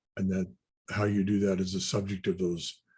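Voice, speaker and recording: Somewhat breathy, a man talks at a fairly quick pace with a fairly low pitch. The background is quiet. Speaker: technical presenter, standards expert. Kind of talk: webinar lecture. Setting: online webinar. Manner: fast; halting, many restarts and fillers.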